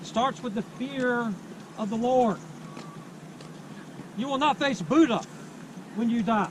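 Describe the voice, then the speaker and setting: Over noticeable background noise, a man speaks fairly slowly at an extremely high pitch with ordinary pitch variation. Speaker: street preacher. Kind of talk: loud outdoor street preaching to a campus crowd. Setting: outdoors on a university campus.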